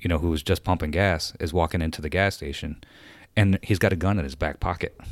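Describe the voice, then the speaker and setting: A man with an upstate New York accent speaks in a very deep, low voice with fairly even intonation, on a very clean recording with a silent background. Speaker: retired Air Force veteran, car enthusiast. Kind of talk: casual chat. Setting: studio.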